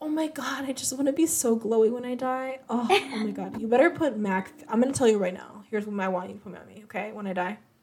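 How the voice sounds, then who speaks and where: This woman talks at a very fast pace with hardly any pauses, lively intonation and big swings in loudness. Noticeable background noise runs underneath. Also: fairly high pitch for a woman. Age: 20s. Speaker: podcast co-host. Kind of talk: casual chat.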